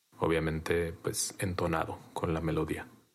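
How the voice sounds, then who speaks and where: Just a man, captured on a very clean recording with a silent background. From Mexico, rural Jalisco. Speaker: writer and DJ. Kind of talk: personal testimony.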